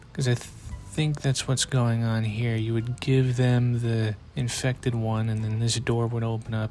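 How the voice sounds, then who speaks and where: A moderate pace with music in the background. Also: man. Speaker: gaming YouTuber. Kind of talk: gameplay commentary. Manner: monotone.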